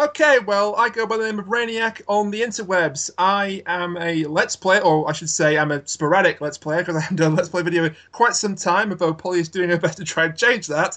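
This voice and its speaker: With a British accent and a bright, sharp tone, the speaker goes at a fairly quick pace with hardly any pauses and ordinary pitch variation. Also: man, high pitch for a man. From Britain. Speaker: podcast guest, Let's Player and podcast host. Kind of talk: casual, wry.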